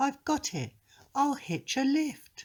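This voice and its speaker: The speaker uses a put-on character voice set at a high pitch. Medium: read story.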